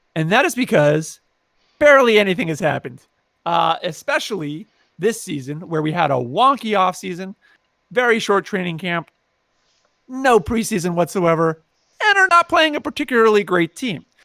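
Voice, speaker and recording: A man with a high pitch speaks in a raised, projected voice with a bright, sharp, animated tone and very wide pitch swings at a moderate pace, with long, frequent pauses. The recording is very clean with a silent background and a dry, close sound with no echo. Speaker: podcast host. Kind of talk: casual chat.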